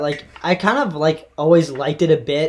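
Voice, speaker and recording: A man speaks in a plain, everyday voice, fairly high-pitched for a man, with fairly even intonation. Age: 20s. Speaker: podcast host and freeskier. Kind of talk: casual interview chat. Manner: rambling, many fillers and restarts.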